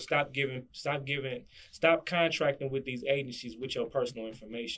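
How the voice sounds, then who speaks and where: A man speaks at a fairly quick pace, his fairly high pitch held to a fairly even intonation. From Chicago, South Side. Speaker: guest on interview podcast, sovereign citizen business figure. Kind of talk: casual interview.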